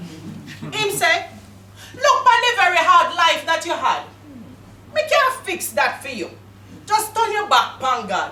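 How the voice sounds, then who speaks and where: Over noticeable background noise, a raised, projected voice moves at a fairly slow pace with very wide pitch swings. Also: woman. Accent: Jamaican. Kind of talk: poetry reading.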